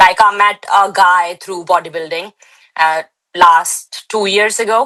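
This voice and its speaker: A woman speaks with an Indian accent at medium pitch and a fairly slow pace. Her tone is bright and sharp, her intonation fairly even. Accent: Indian, still noticeable. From India, Delhi. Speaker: bodybuilder. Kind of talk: interview.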